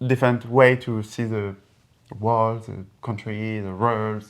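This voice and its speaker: A man speaks at a fairly slow pace with a French accent, his pitch medium for a man. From France. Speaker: engineer and entrepreneur. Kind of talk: casual conversation. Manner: halting, many repetitions.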